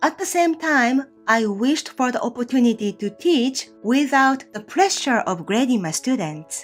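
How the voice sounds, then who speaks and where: A woman with a Japanese accent speaks at a fairly slow pace in a high pitch with very wide pitch swings, with music in the background. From Kagoshima, southern Japan. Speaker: Japanese language teacher. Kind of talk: casual talk to camera.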